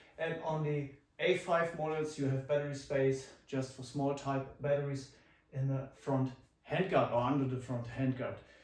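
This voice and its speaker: A German accent with monotone, flat intonation, audible room echo and noticeable background noise. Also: man, fairly high pitch for a man, moderate pace. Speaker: airsoft youtuber. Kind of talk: product review. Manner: halting.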